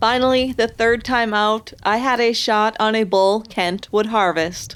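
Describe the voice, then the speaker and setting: With an American accent and an ordinary speaking voice, the speaker talks at a fairly slow pace with fairly even intonation and very even loudness. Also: woman, fairly high pitch for a woman. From Upper Michigan. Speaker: outdoor TV show host. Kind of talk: scripted narration.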